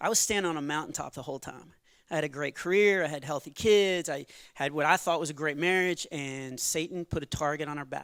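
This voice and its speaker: Talking very fast with an American accent, a man with a fairly high pitch and ordinary pitch variation is heard on a very clean recording with a silent background. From Texas. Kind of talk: stand-up comedy with testimony. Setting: church stage with audience.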